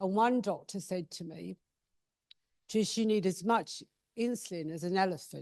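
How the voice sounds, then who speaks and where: In a dry, close recording with no echo, a woman with an English accent and a medium pitch talks at a moderate pace with ordinary pitch variation and long, frequent pauses. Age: 50s. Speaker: patient speaker. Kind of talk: personal talk at patient event. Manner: casual, self-deprecating.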